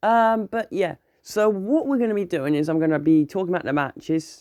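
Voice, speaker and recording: The speaker has a British accent and an animated tone at a moderate pace. The background is quiet. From UK. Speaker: wrestling reviewer, YouTuber. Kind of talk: casual video review.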